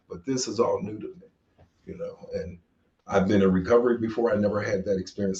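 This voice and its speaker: Somewhat breathy, the voice moves along at a moderate pace. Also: man. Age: 60s. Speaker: podcast host in addiction recovery. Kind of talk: casual interview conversation. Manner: halting, repeats words.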